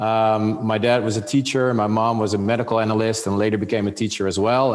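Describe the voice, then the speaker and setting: With a Dutch accent and monotone, flat intonation, the speaker keeps a moderate pace amid noticeable background noise and audible room echo. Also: man. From Netherlands. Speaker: business executive. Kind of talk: interview. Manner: halting, many fillers.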